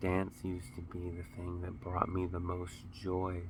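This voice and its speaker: In a very deep, low voice, a man speaks at a moderate pace with flat, monotone intonation and a somewhat breathy quality. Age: 30s. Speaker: vlogger, dancer and Marine Corps veteran. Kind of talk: casual vlog talk to camera. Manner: halting, repeats words.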